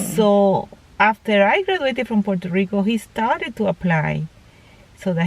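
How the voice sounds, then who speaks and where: At a moderate pace, a woman with a Panamanian accent talks at a medium pitch with ordinary pitch variation. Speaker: interviewee, mother of the vlogger. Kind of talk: casual interview. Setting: at home. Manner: halting.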